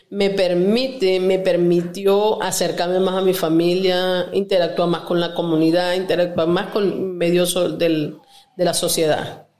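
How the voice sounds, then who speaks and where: Fairly slow speech from a woman at a medium pitch, audible echo from the room around her. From Venezuela, Lara state. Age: 40s. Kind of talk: testimony.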